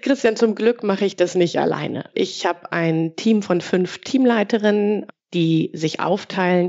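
This woman has an ordinary speaking voice. Her intonation is lively and her pace moderate. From Ruhr area, Germany. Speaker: dental billing department head. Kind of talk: podcast interview.

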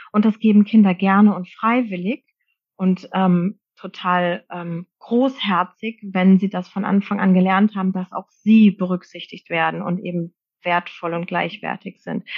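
A woman speaks at a fairly slow pace in a somewhat breathy, medium-pitched voice with fairly even intonation. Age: 40s. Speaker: social worker and parenting coach. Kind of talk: interview.

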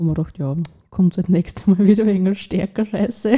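The voice is dark and mellow, somewhat breathy, with ordinary pitch variation. The pace is very fast. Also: woman. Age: 20s. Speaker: young mother sharing her story. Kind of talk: personal testimony in a conversation. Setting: at a host's home, around a table.

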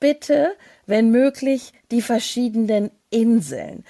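On a very clean recording with a silent background, a woman with a dark, mellow tone and fairly high pitch speaks fairly slowly with lively intonation. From Hesse, Germany. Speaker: travel podcast co-host. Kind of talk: casual interview.

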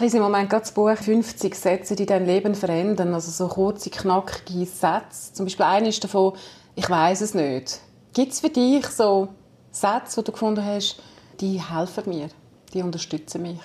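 Her dark, mellow tone holds a medium pitch for a woman, with ordinary pitch variation at a moderate pace. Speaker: podcast host, former radio reporter. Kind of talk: interview.

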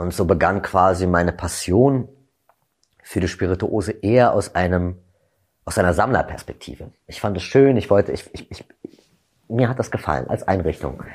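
A man's fairly low voice with lively intonation at a moderate pace, on a very clean recording with a silent background. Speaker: gin brand ambassador, former bartender and actor. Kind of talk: interview, storytelling.

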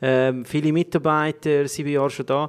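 Fairly high in pitch, a man speaks in an unremarkable speaking voice with fairly even intonation. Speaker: podcast host. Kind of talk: casual chat.

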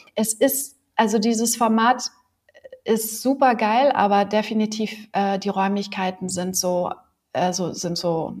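Her voice is somewhat breathy and medium in pitch. The woman's intonation is fairly even. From Berlin. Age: 40s. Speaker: yoga teacher. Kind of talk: interview.

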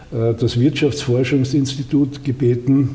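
Noticeable background noise sits behind a man speaking at a moderate pace. His medium-pitched voice keeps fairly even intonation. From Austria, Styria (Judenburg). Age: 80s+. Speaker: retired politician, former minister. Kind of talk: interview. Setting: office in the state parliament building.

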